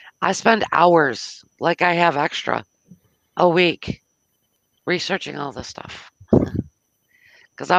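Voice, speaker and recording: An American accent carries the speech. Long pauses come often. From US South. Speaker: internet radio host and shop owner. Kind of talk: casual live radio chat. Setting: live online radio stream.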